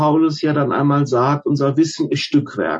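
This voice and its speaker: This man talks in a fairly high pitch. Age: 50s. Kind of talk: interview about faith. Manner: halting, frequent fillers.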